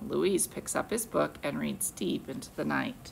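Light background noise under a woman speaking at a moderate pace. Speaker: teacher. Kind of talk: read-aloud to children. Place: classroom. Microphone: phone near.

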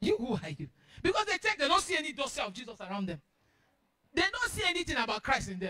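In a quiet background, a man with an extremely high pitch talks at a very fast pace in a raised, projected, animated voice with a bright, sharp tone, very wide pitch swings and long, frequent pauses. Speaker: preacher. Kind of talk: sermon. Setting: church. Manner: repetitive, building rhythm with insistent repeated words. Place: church.

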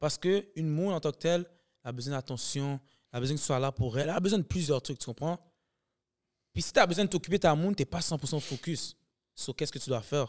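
Against a quiet background, a man with a fairly high pitch talks at a very fast pace, broken by long, frequent pauses. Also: ordinary pitch variation. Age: 20s. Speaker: comedian and sketch video maker; podcast guest, actor, comedian. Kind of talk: casual chat. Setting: studio. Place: studio. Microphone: studio mic.

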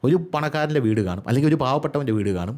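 The man speaks at a medium pitch. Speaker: YouTube news commentator. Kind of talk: solo video commentary.

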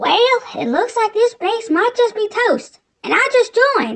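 A man puts on a squeaky character voice at an extremely high pitch, keeping a moderate pace. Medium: machinima. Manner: sarcastic, guarded.

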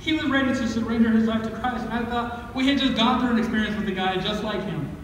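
A man speaks at a very fast pace with an extremely high pitch and fairly even intonation. Strong room echo and light background noise fill the recording. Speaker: pastor. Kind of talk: sermon. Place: church. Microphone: camera far.

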